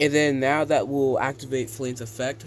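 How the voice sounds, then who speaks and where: With a normal speaking voice, a man talks at medium pitch and a moderate pace, his intonation fairly even. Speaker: game designer and YouTuber. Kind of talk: casual gameplay commentary.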